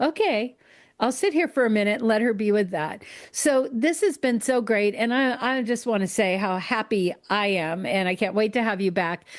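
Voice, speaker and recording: In a quiet setting, a woman with a plain, everyday voice speaks at a moderate pace, her pitch fairly high, her pitch variation ordinary and her loudness very even. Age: 60s. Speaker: podcast host. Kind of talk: casual interview chat.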